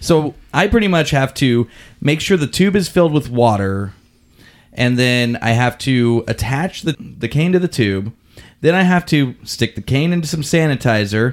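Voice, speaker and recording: A man with a medium pitch and lively intonation speaks at a moderate pace in a very clean recording with a silent background. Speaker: podcast host.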